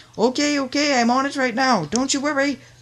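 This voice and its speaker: It's a put-on character voice with high pitch. The pace is fairly quick. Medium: read story. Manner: cheery.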